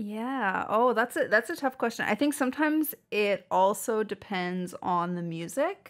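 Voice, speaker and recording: A woman with a Canadian accent uses a plain, everyday voice at fairly high pitch and a fairly slow pace, with hardly any pauses. Her intonation is lively, and the recording is very clean with a silent background. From Saskatchewan, Canada. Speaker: audio engineer and musician. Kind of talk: podcast interview.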